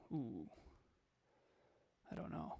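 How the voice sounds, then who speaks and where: In a very clean recording with a silent background, a man talks at a fairly quick pace with vocal fry. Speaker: entrepreneur and podcast CEO. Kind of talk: interview. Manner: halting.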